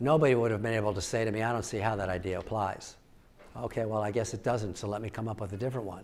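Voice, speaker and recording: Over audible room echo, a man with a medium pitch talks at a very fast pace with fairly even intonation. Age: 70s. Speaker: professor. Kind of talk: audience Q&A at keynote. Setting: stage with audience. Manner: halting.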